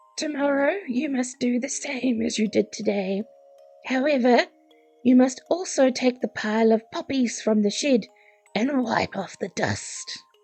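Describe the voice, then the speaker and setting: A woman uses a put-on character voice that is raspy and high-pitched, at a moderate pace. Faint music plays in the background. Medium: read story. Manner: commanding, menacing.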